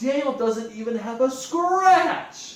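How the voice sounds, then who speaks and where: Slight echo surrounds a put-on character voice pitched high and delivered at a fairly slow pace. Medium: read story.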